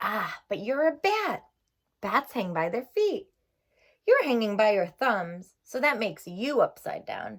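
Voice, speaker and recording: A loud, put-on character voice from a woman, fairly high in pitch and at a fairly slow pace. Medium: read story.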